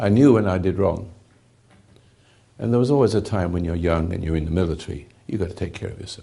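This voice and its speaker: A man with a very deep, low pitch talks at a very fast pace, somewhat breathy, with ordinary pitch variation. There are long, frequent pauses and big swings in loudness. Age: 80s+. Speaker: spiritual teacher. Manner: halting.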